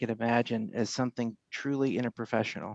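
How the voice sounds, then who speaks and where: Soft-spoken and medium in pitch, a man talks with a dry, close sound and no echo. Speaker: podiatric academic. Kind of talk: panel discussion.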